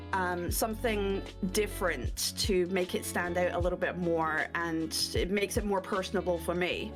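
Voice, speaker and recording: Over music in the background, a woman with a Scottish accent speaks at a fairly slow pace. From Scotland. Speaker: streamer and voice actress. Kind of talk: interview answer.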